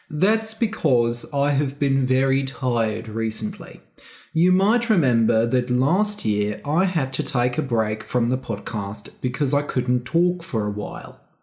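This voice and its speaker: Somewhat breathy, a man speaks at a fairly slow pace with medium pitch and very wide pitch swings. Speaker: podcast host and English teacher. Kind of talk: casual talk to listeners.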